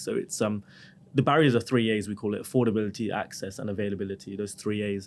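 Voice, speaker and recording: A man talks at a very fast pace. His voice sits fairly low. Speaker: dentist and tech founder. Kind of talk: podcast interview.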